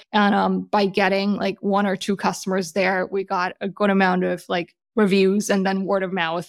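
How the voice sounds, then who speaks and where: A woman with a German accent speaks at a moderate pace in a medium pitch, with monotone, flat intonation and hardly any pauses. The recording is very clean, with a silent background. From Germany. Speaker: startup founder and CEO. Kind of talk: interview.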